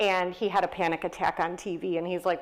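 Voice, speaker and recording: A woman at medium pitch with an American accent, very fast pace and monotone, flat intonation, in a very clean recording with a silent background. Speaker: nurse educator and author. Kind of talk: author talk. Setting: stage with audience.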